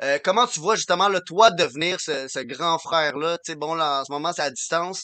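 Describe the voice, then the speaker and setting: The speaker has a normal speaking voice with ordinary pitch variation. The pace is moderate. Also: man. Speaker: podcast co-host.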